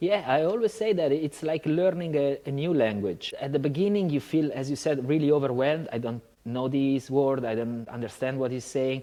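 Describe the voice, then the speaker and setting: A man with an Italian accent, fairly high in pitch with ordinary pitch variation, at a moderate pace with hardly any pauses over noticeable background noise. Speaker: yoga teacher. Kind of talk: casual chat.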